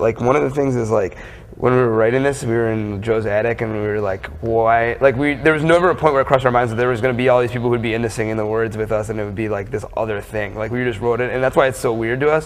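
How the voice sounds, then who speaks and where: Over noticeable background noise, a man talks at a very fast pace with a medium pitch and ordinary pitch variation. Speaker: rock band bassist and lyricist. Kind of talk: interview answer.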